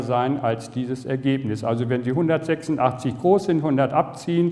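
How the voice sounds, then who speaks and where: Speech comes very slowly, and the pitch varies in an ordinary way. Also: man. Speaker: health lecturer. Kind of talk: lecture. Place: hall.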